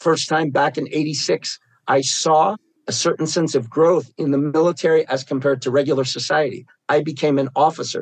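This man has a fairly high pitch, fairly even intonation, a moderate pace, and a normal speaking voice. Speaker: war trauma therapist and veteran. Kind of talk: casual chat.

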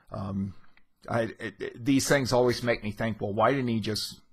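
A man speaks in a somewhat breathy voice with fairly even intonation. The background is quiet. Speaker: literature teacher. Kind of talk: lecture. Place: home room. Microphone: studio mic.

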